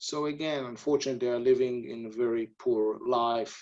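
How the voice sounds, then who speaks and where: A man with an Israeli accent and a dark, mellow tone. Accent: non-native English, Israeli. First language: Hebrew. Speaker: army officer. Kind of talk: webinar interview. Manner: halting.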